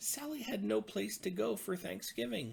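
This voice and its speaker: Here a man uses a put-on character voice. His pace is moderate. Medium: read story.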